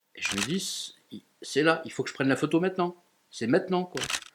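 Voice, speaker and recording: Here a man talks at a fairly quick pace. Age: 60s. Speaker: photographer. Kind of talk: interview.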